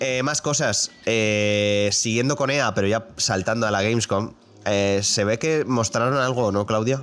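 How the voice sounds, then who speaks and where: A man's medium-pitched voice at a fairly slow pace, with ordinary pitch variation, very even loudness and music in the background. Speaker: video game podcast host. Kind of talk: casual chat.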